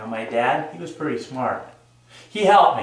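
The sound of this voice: A man's voice makes big pitch swings amid strong room echo.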